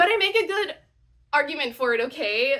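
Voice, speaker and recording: With a bright, sharp tone, a woman speaks at a moderate pace using very wide pitch swings. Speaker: audiobook narrator. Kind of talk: casual talk to camera. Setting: camera microphone. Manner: chatty, excitable.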